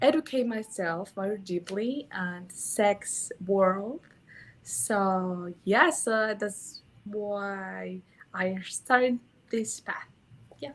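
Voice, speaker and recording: A woman speaks very slowly in a Mexican accent, her pitch medium. Her loudness swings widely and her intonation is lively. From Mexico. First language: Spanish. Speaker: sex educator. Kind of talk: interview. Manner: halting.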